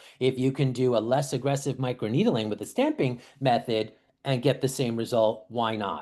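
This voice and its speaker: A man's medium-pitched voice with fairly even intonation against a quiet background. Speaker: skincare product educator. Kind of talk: webinar presentation. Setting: hotel room, online webinar. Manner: fast.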